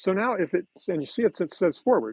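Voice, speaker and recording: A man's lively, up-and-down voice at a fairly quick pace. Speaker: model railroad hobbyist. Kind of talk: live stream tutorial. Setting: home layout room, live stream. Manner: loud; casual, halting.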